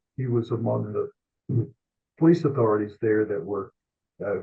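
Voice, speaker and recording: In a Tennessee accent, a man speaks at a medium pitch and a fairly slow pace, with ordinary pitch variation. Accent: Southern US (Tennessee). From US South, Memphis. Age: 70s. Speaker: sports columnist. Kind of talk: interview storytelling. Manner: halting, many fillers and repeats.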